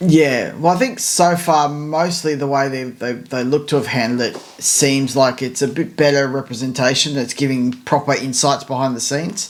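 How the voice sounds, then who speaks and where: A man's fairly high voice with hardly any pauses, over noticeable background noise. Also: ordinary pitch variation, moderate pace. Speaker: F1 podcast co-host. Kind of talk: casual chat. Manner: hesitant, many fillers and repeats.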